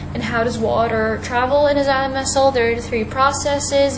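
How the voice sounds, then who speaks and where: Noticeable background noise and audible room echo behind a woman's fairly quick delivery. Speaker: online biology teacher. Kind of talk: video lesson.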